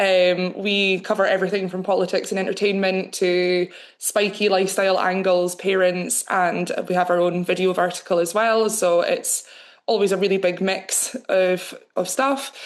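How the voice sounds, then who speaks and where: A woman with a Scottish accent speaks at medium pitch. Her intonation is monotone and flat, and her loudness stays very even. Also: moderate pace. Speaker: news editor and journalist. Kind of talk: webinar panel discussion.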